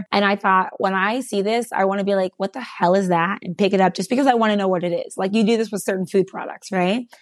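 A woman talks at a very fast pace with hardly any pauses, her pitch medium and her intonation fairly even. The sound is dry and close, without any echo. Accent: West Coast. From California. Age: 30s. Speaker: entrepreneur. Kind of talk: interview.

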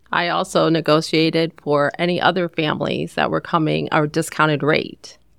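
With vocal fry and a very deep, low pitch, a woman speaks in a flat monotone at very even loudness, with hardly any pauses. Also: moderate pace. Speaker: hospital concierge. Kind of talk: casual interview chat.

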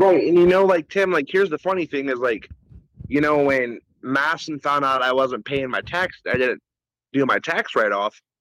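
A man with a plain, everyday voice and a fairly high pitch uses lively intonation at a moderate pace, with a dry, close sound with no echo. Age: 20s. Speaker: caller, former EMT with own show. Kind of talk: casual chat.

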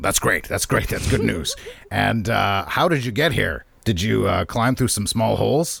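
A man puts on a character voice, raspy and fairly low in pitch. He speaks at a fairly slow pace. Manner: warm, theatrical.

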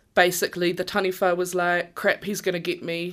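With a New Zealand accent, a woman speaks at a fairly low pitch in a flat monotone. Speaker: Māori storyteller. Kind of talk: storytelling; casual chat.

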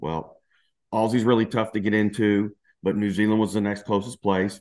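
This man talks at a fairly quick pace with a Southern US accent. His pitch is fairly low, and the background is quiet. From Louisiana, US South. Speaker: cancer survivor and entrepreneur. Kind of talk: testimony.

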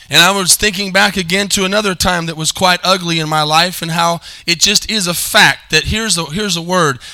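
A man talks at a moderate pace with a high pitch and ordinary pitch variation. His tone is bright and sharp.

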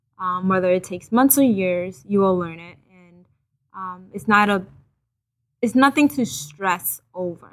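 A woman speaks in a Haitian accent at a fairly slow pace. Her pitch is medium with ordinary variation. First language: Haitian Creole. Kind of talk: testimony.

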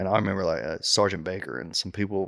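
A man speaks at a moderate pace with fairly low pitch and fairly even intonation. The recording is very clean, with a silent background. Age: 30s. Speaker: army infantry veteran. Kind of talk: casual chat.

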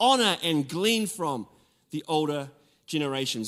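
With lively intonation, a man speaks in a New Zealand accent on a very clean recording with a silent background. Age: 40s. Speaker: pastor. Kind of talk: sermon. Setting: church with congregation.

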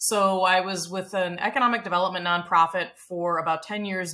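A woman speaks in a fairly low pitch with ordinary pitch variation and a bright, sharp tone.

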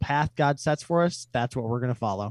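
Speaking at a moderate pace with an Upper Midwest accent, a man with a medium pitch comes through against a quiet background. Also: dry, close sound with no echo. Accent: Upper Midwest American. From Wisconsin, Fond du Lac. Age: 20s. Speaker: metal musician. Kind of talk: casual chat. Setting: remote call.

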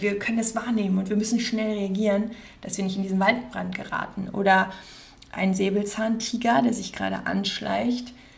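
Flat and monotone in intonation, a woman speaks at a moderate pace in a medium pitch, with audible room echo. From Germany, Cologne area (Rhineland). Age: 30s. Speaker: podcast host, life coach. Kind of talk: casual monologue. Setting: at her desk.

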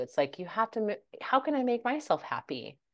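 A woman with an American accent and vocal fry, at a moderate pace, against a quiet background. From United States. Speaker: life coach. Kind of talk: casual interview. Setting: remote call. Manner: animated.

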